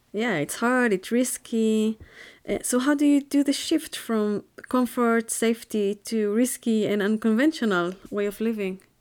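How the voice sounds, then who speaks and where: A woman with a normal speaking voice, fairly high pitch, ordinary pitch variation and a fairly slow pace, hardly any pauses, in a very clean recording with a silent background. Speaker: podcast host. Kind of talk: interview.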